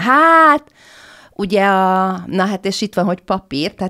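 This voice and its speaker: A woman speaking at a fairly slow pace against a quiet background. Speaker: historian of fashion; podcast guest. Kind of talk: interview discussion. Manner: halting, hesitant. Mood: animated storytelling. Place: studio. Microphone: studio mic.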